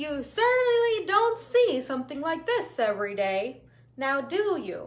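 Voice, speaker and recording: A woman uses a put-on character voice at a high pitch. Her pitch swings very widely at a moderate pace. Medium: read story.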